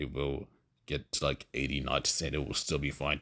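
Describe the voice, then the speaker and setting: Using a very deep, low pitch with vocal fry, a man talks at a moderate pace in a monotone, flat intonation, with a dry, close sound that has no echo. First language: not English. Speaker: gamer. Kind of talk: gameplay voice-over commentary. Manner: hesitant, many fillers.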